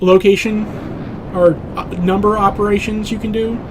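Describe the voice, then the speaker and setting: A man's monotone, flat intonation and fairly slow pace come through noticeable background noise. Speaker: video game streamer. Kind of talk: live gameplay commentary. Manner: halting with many fillers.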